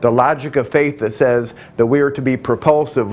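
Light background noise accompanies speech at a moderate pace with fairly even intonation. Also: man. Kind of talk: testimony to camera. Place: home room. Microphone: lapel.

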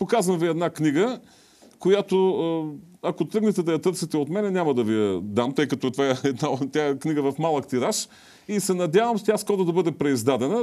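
Against a quiet background, a man talks fairly quickly at a fairly high pitch. His tone is dark and mellow, his pitch swinging very widely. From Bulgaria. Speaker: TV host and academic; TV show host. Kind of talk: TV talk show interview. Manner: halting, with filler sounds. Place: studio. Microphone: lapel.

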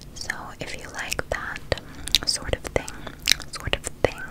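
A soft-spoken, whispering voice moves at a fairly slow pace over loud background noise. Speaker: book reader. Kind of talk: soft read-aloud, ASMR-style. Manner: soft close ASMR whisper.

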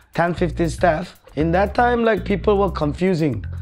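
A man speaks at a fairly slow pace with faint music in the background. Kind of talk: interview answer. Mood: cheerful, joking. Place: cafe.

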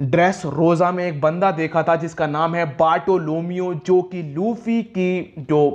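A high-pitched man's voice with fairly even intonation. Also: hardly any pauses. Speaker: anime recap YouTuber. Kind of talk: episode recap narration. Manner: casual, conversational.

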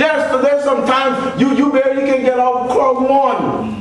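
With audible room echo, a man speaks at a moderate pace in an extremely high pitch and a monotone, flat intonation. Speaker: preacher. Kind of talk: sermon. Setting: church. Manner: call-and-response preaching, punctuated by repeated 'Praise the Lord' and 'Amen'; exhorting, fervent. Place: church.

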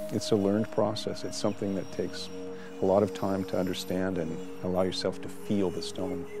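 Clear music plays behind a man with a very deep, low voice. His sound is dry with no echo, his pace fairly quick and his pitch variation ordinary. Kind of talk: interview answer. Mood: calm, reflective. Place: garden.

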